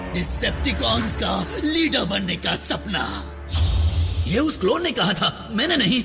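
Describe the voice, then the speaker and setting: Over loud music in the background, a man uses a put-on character voice at a fairly slow pace. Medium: fan dub. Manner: sly, theatrical, quick to flatter or gloat.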